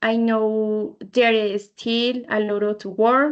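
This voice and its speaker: Against a quiet background, a woman with a Spanish accent talks at a fairly high pitch with fairly even intonation. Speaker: English learner. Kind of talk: student podcast presentation. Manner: halting, many fillers.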